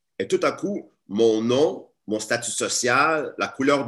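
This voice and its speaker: Very wide pitch swings run through a man's speech at a very slow pace. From Montreal area, Quebec. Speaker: teacher and activist. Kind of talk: webinar talk. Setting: video call.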